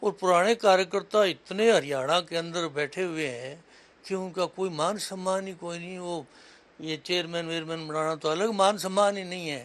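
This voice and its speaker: This man's voice is high-pitched. The intonation stays mostly level. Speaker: veteran party politician, former professor. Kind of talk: interview.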